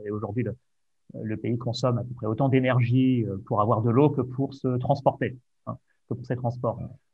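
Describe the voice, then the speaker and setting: With faint music in the background, a man speaks in a dry sound with no echo. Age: 30s. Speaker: podcast host. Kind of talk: interview conversation. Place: home room. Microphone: video call.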